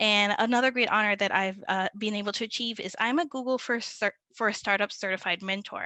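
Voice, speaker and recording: A woman with a Spanish accent speaks fairly quickly at a fairly high pitch in a bright, sharp tone, with ordinary pitch variation. The sound is dry and close with no echo, over a quiet background. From Puerto Rico. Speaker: digital marketing manager. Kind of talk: webinar presentation.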